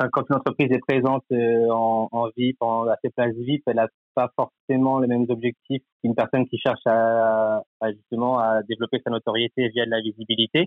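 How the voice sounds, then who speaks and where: A man's medium-pitched voice at a moderate pace, monotone and flat, with very even loudness and hardly any pauses. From Normandy, France (Cherbourg). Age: 20s. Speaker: sports club partnerships manager. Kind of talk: interview. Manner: halting, many filler words.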